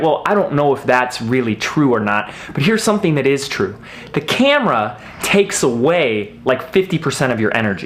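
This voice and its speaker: This man speaks loudly at a fairly high pitch, with very wide swings in pitch. Noticeable background noise can be heard. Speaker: video marketing coach. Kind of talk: tutorial. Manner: fast; loud, energetic.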